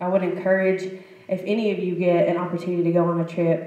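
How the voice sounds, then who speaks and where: Over noticeable background noise and audible room echo, a woman speaks in a flat monotone at a fairly low pitch. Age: young. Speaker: panelist, youth group chaperone. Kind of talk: panel talk.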